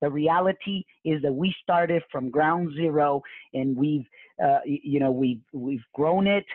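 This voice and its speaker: Animated in tone, a man with a Spanish accent talks at a moderate pace and a fairly high pitch. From Mexico. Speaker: real estate investor and coach. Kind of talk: live webinar presentation. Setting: live online webinar. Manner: animated, repetitive with many fillers.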